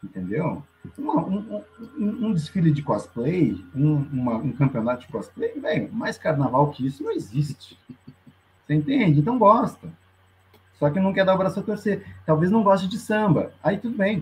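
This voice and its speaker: At a moderate pace, a man speaks in a high voice that makes very wide pitch swings. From Curitiba, Brazil. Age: 40s. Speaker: carnival street band member. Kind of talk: casual chat.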